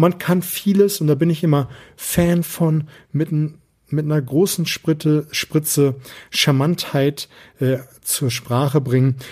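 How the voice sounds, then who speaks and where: Somewhat breathy and fairly high-pitched, a man speaks with fairly even intonation. He goes at a fairly slow pace with long, frequent pauses. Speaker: sales and persuasion coach, podcast host. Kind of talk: solo podcast monologue, coaching tips.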